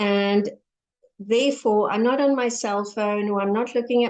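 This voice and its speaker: Monotone and flat, a woman speaks at a medium pitch. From South Africa. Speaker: empowerment coach and author. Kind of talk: interview podcast.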